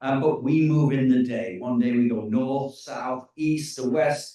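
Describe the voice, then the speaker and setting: Speaking with an English accent at a moderate pace, a man has a fairly high pitch and a dark, mellow tone. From England. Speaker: tour company leader. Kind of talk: presentation. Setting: info session with live audience and Zoom. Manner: halting with fillers.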